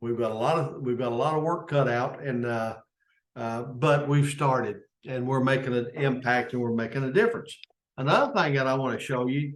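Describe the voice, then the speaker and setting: A man with a Kentucky accent, medium-pitched, at a moderate pace. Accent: Kentucky Southern US. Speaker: service club leader. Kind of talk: unscripted informational talk. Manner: halting.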